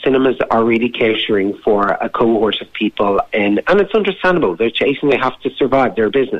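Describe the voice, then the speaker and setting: A man with an Irish Midlands accent speaks at a medium pitch and a fairly quick pace. He hardly pauses at all. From Irish Midlands, County Laois. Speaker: documentary filmmaker. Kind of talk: radio interview.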